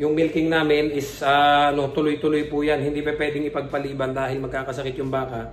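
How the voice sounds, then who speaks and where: Amid audible room echo and noticeable background noise, a man speaks at a very fast pace. His intonation is monotone and flat. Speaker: vlogger, dairy farm worker. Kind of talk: casual vlog talk.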